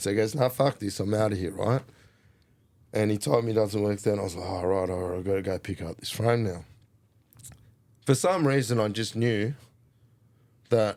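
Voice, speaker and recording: A man with an Australian accent, fairly low-pitched, with ordinary pitch variation, a moderate pace and long, frequent pauses, in a very clean recording with a silent background. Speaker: hip hop artist and mountain biker. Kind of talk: casual storytelling interview. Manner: animated.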